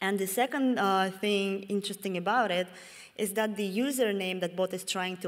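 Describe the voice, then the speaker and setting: At a moderate pace, a woman with a Russian accent speaks at medium pitch on a very clean recording with a silent background. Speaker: security researcher. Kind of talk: conference talk. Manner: halting, with many fillers.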